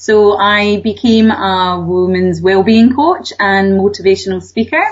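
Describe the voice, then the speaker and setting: Speaking in a Scottish accent, a woman talks at a fairly slow pace with ordinary pitch variation. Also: medium pitch for a woman. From Scotland, Glasgow. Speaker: author and wellbeing coach. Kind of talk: radio interview.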